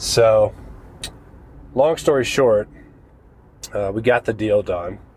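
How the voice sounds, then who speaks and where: Somewhat breathy, a man speaks at a very slow pace with long, frequent pauses. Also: medium pitch for a man, ordinary pitch variation. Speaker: real estate investor podcast host. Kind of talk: podcast monologue. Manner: casual, conversational with fillers.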